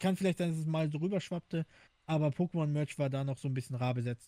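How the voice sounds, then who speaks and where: A man's fairly high, somewhat breathy voice with a dark, mellow tone, fairly even intonation and a fairly quick pace, in a dry, close sound with no echo. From Hamburg, northern Germany. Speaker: podcast co-host. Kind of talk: casual chat.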